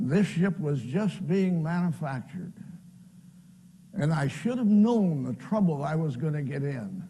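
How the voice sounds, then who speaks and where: A man with an American accent speaks in a high pitch with a dark, mellow tone. His pace is fairly slow and his intonation lively. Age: 80s+. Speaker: pastor and World War II veteran. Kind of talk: personal testimony talk.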